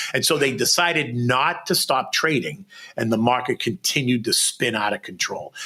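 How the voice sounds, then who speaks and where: A man talks at a moderate pace with an animated tone. His pitch is medium, with ordinary variation. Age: 60s. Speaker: former stock exchange floor trader. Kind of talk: interview.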